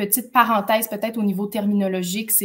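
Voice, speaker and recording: Her pitch sits at a medium level, somewhat breathy, with monotone, flat intonation. This woman moves at a fairly quick pace. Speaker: lawyer hosting a legal info webinar. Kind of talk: live webinar hosting. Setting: live stream on social media. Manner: fast; hesitant, many fillers.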